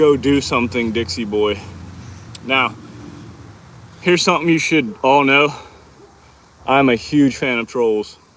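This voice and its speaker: Speaking at a fairly slow pace with long, frequent pauses, a man with a Texan accent holds a medium pitch and ordinary pitch variation. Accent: sounds Texan. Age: 20s. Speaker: fitness livestreamer. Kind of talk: casual live stream chat during workout. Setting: outdoors in hot sun.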